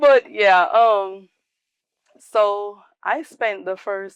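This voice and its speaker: With a slight Jamaican accent and ordinary pitch variation, a woman speaks in a dry, close sound with no echo against a quiet background. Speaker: salon owner, former athlete. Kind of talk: interview.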